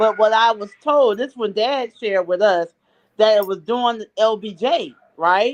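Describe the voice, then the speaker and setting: This woman's voice sits fairly high and shows ordinary pitch variation, moving at a moderate pace with big swings in loudness. It is a plain, everyday voice. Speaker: political commentator guest. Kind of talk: talk show interview.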